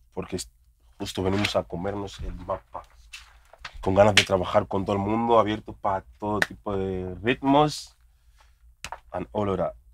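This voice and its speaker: Speaking at a moderate pace with long, frequent pauses, a man keeps a fairly low pitch and fairly even intonation. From Spain, Madrid. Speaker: rapper. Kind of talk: casual chat.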